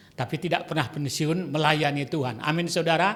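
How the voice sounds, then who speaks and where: Audible room echo surrounds a man as he speaks. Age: 70s. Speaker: retired pastor. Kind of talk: sermon.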